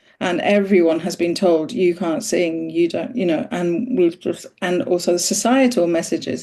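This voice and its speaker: A woman with a dark, mellow tone speaks at a fairly low pitch, with vocal fry. Her pace is moderate and her intonation lively. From Iran, moved to UK at age ten. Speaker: interviewer and voice practitioner. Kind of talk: conversational interview.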